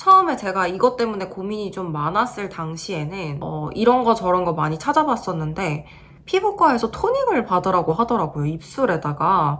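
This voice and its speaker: Over noticeable background noise, a woman at medium pitch talks at a moderate pace with hardly any pauses, lively intonation and big swings in loudness. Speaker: beauty vlogger. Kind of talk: video review vlog.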